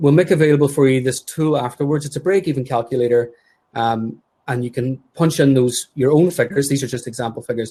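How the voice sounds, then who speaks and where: A man talks at a very fast pace in a medium-pitched voice with ordinary pitch variation. His tone is dark and mellow and somewhat breathy. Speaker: podiatry practice owner and webinar co-host. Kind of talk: webinar presentation. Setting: live webinar.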